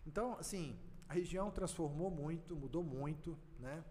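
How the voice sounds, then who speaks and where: A fairly high-pitched male voice with audible room echo. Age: 50s. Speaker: rural producer and former mayor. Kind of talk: podcast interview. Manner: animated.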